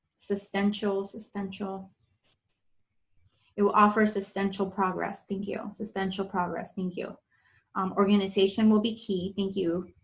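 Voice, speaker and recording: Somewhat breathy and at medium pitch, a woman speaks in a monotone, flat intonation with long, frequent pauses. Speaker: intuitive coach / psychic reader. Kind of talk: live psychic reading for viewers. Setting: live webinar / Facebook stream. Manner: fast.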